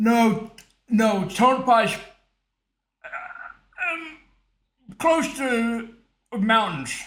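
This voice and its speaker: A man with an extremely high pitch and lively intonation, at a very slow pace with long, frequent pauses, amid audible room echo. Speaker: online community host. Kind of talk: casual chat. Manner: halting.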